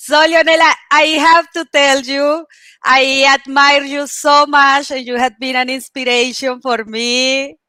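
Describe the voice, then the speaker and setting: A raised, projected voice with a non-native accent and a bright, sharp tone speaks at a fairly slow pace with fairly even intonation, in a dry, close sound with no echo. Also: woman, high pitch for a woman. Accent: foreign accent in English. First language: not English. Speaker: show host. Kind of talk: interview. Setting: livestream.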